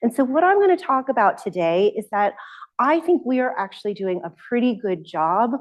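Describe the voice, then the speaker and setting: A woman speaks at a moderate pace. Her pitch swings very widely. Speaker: surgeon and bioethicist. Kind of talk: lecture.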